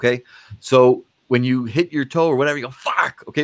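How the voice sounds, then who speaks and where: A man's very fast, animated delivery, dry and close with no echo, on a very clean recording with a silent background. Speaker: psychologist. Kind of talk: interview.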